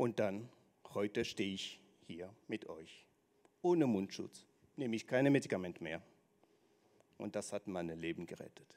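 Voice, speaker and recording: At a moderate pace, a man with a fairly low pitch talks with lively intonation and long, frequent pauses. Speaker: speaker in a speaking contest; speaker. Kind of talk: speech on stage. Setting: stage with audience. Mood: earnest personal story. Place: hall. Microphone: handheld.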